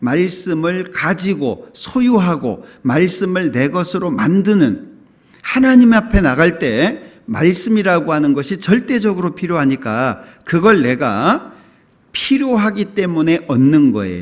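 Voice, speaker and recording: A man's high voice with very wide pitch swings at a very slow pace. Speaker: pastor. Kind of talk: sermon.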